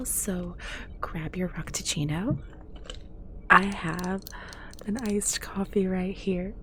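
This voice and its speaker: Soft-spoken speech moves at a very slow pace with long, frequent pauses over noticeable background noise. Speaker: ASMR gaming content creator. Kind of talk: relaxed gameplay commentary.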